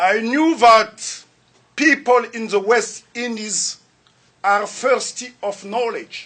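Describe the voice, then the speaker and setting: A man's raised, projected voice with a Central African French accent. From Republic of the Congo. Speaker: lecturer. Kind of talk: lecture. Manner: formal.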